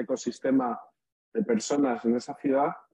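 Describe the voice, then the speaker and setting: A man speaks at a moderate pace in a fairly high pitch, with ordinary pitch variation and a normal speaking voice. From Spain. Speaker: startup founder, venture capitalist. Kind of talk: pitch interview.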